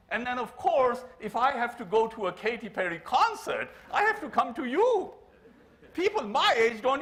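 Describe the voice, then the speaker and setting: Over noticeable background noise, a man speaks at a moderate pace with an extremely high pitch and very wide pitch swings. His tone is animated. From Pakistan. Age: 70s. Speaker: keynote speaker, engineer. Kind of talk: keynote speech. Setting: conference stage with audience. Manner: animated, humorous.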